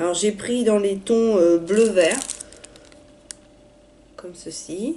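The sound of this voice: With audible room echo, a woman speaks at a medium pitch and a fairly slow pace. Her tone is dark and mellow, with ordinary pitch variation.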